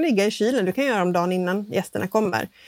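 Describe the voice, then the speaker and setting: A woman talks at a very fast pace with lively intonation. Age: 40s. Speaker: baking podcast co-host. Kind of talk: casual chat. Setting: video call from home, sitting in bed.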